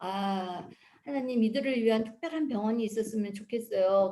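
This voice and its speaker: With a plain, everyday voice, a woman speaks at a moderate pace in a fairly high pitch with ordinary pitch variation. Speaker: missionary. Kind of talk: mission report presentation with slides. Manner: conversational, with fillers.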